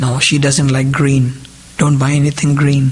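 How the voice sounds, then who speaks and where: Animated speech at a moderate pace comes through over noticeable background noise. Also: man. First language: Indian regional language (mother tongue). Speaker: lay preacher. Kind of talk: sermon. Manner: animated, rhetorical questions.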